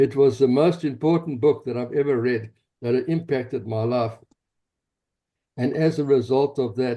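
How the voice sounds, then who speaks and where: Speaking with a South African accent, a man with a dark, mellow tone and a medium pitch keeps his intonation fairly even, moving at a moderate pace with long, frequent pauses. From South Africa, Johannesburg. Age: 70s. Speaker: pastor and activist. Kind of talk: interview, personal story.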